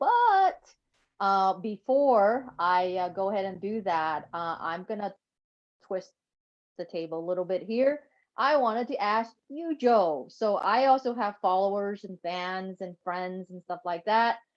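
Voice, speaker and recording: A woman's medium-pitched voice at a fairly slow pace, with ordinary pitch variation. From California. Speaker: entrepreneur, Wall Street veteran. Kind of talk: interview. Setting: live stream. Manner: hesitant, many fillers.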